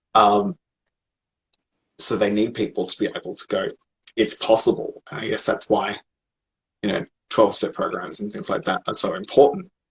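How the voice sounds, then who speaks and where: A man with an Australian accent speaks at a moderate pace, leaving long, frequent pauses. The sound is dry and close, with no echo. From Australia, Sydney. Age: 30s. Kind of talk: casual interview. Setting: livestream video call.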